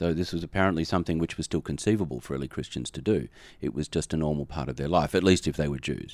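A man's very deep, low voice with vocal fry and an American accent, very fast pace and ordinary pitch variation, on a very clean recording with a silent background. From Australia. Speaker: theology professor and dean. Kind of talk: podcast interview.

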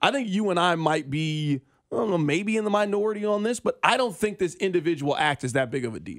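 Energetic in tone, a man talks at a very fast pace in a high pitch with lively intonation. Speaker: sports radio host. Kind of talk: live sports radio, asking questions and steering segments. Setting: live radio studio. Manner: energetic, quick, conversational.

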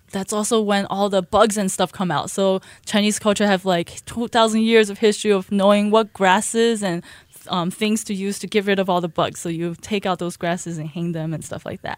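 A woman with an unremarkable speaking voice talks at a fairly quick pace and medium pitch, her intonation fairly even, in a very clean recording with a silent background and a dry, close sound with no echo. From Shanghai, China, then Buffalo, New York. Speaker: children's book author and Chinese school director. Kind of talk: radio interview. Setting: radio studio.

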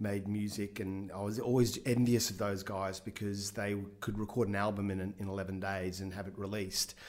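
A man talks at a moderate pace with an Australian accent. His pitch is fairly low. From Australia, Brisbane. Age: 50s. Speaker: film director. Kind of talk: interview.

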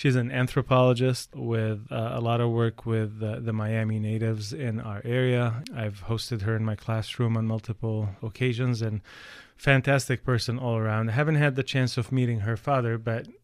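With an Arabic accent, a man speaks at medium pitch and a moderate pace with fairly even intonation. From Palestine. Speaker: podcast host. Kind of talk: interview. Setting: studio.

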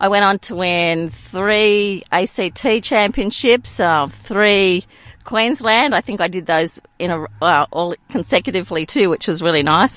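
With an Australian accent, a woman talks in lively intonation with hardly any pauses. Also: medium pitch for a woman, fairly slow pace. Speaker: amateur golfer. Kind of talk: casual chat.

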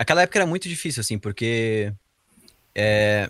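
A man speaks with a Santa Catarina accent. His pace is moderate and his intonation lively. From Santa Catarina, Brazil (Rio do Sul). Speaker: tech company CTO. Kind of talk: interview. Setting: remote podcast recording at night.

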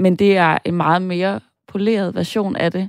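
A woman with a normal speaking voice talks at a fairly slow pace and medium pitch, in a dry, close sound with no echo on a very clean recording with a silent background. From northern Jutland, Denmark. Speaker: screenwriter. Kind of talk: casual chat.

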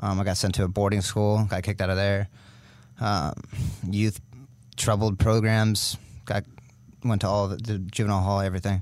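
Speaking at a fairly quick pace with long, frequent pauses, a man with a Californian accent and a fairly low pitch keeps a monotone, flat intonation. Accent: Californian American. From US, California (Sacramento). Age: 20s. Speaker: firefighter. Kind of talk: casual interview chat.

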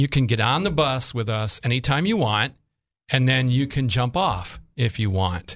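With lively intonation, a man of medium pitch uses an ordinary speaking voice at a moderate pace. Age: 60s. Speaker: insurance agent. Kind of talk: casual chat.

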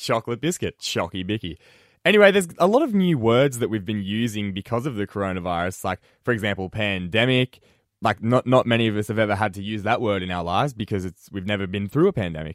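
Talking at a very fast pace with an Australian accent, a man with a fairly low pitch and ordinary pitch variation is heard on a very clean recording, silent background, with a dry, close sound with no echo. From Australia, central west New South Wales. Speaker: radio host. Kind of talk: radio talk show. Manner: casual.

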